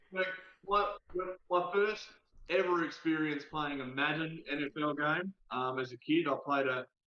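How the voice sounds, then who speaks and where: A man speaks with an Australian accent in a fairly high voice with ordinary pitch variation. His pace is moderate, broken by long, frequent pauses. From South Australia. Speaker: TikTok creator. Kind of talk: casual chat. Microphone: delay, poor internet connection.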